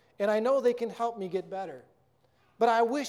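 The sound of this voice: The voice reads without strain. Its pitch rises and falls a normal amount.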